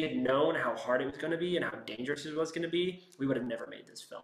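This man talks at a very fast pace. The room echo is audible, and there's noticeable background noise. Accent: American. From US, San Francisco Bay Area (West Marin). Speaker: screenwriter. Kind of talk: interview.

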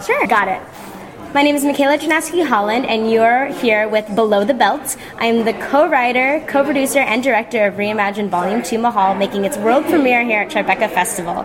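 A woman talks at a fairly quick pace with an American accent. Her fairly high voice shows ordinary pitch variation over noticeable background noise. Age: 20s. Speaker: VR filmmaker. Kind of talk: interview. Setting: festival venue.

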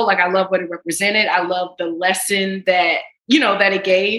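A woman's unremarkable speaking voice, medium in pitch, at a fairly quick pace. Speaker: actress. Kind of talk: casual chat.

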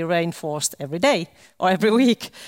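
A woman with a Finnish accent speaks at a moderate pace in a fairly low pitch. The recording is very clean, with a silent background and a dry, close sound with no echo. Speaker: government official. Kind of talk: panel discussion. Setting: stage with live stream.

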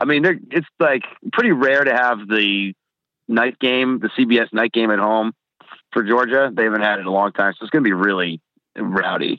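A man with an American accent and a plain, everyday voice, medium in pitch, with ordinary pitch variation at a fairly quick pace. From New Jersey. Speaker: college football fan. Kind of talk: casual chat.

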